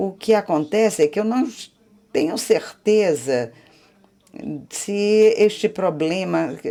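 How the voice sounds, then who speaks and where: A woman speaks at a very slow pace with lively intonation, a medium pitch, a dark, mellow tone and long, frequent pauses. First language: Spanish (speaking Portuguese). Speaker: audience member asking a question. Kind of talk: audience question at panel.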